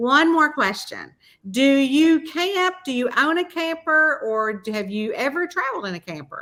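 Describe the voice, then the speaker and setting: In a Southern US accent, a woman speaks at a high pitch in a raised, projected voice with a bright, sharp tone. Her delivery is animated, with very wide pitch swings. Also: moderate pace. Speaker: podcast host and mystery author. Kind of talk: casual interview chat.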